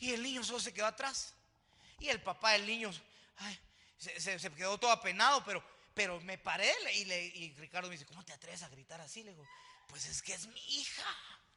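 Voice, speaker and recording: Over noticeable background noise, a man talks in an animated tone at a fairly quick pace, his high pitch showing ordinary variation and his loudness swinging widely. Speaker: pastor. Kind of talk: sermon.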